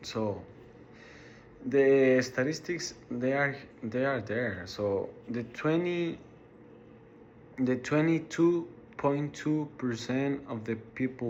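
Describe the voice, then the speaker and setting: A man with a Mexican accent speaks very slowly at a medium pitch, with ordinary pitch variation. Long, frequent pauses break his speech, and room echo is audible. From Mexico, Ciudad Juarez. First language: Spanish. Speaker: college student. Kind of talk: class speech. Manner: halting, many repetitions and fillers.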